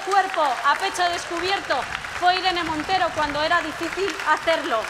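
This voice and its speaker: A woman's raised, projected voice over crowd noise in the background. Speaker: speaker. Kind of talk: rally speech. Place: stage. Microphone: podium.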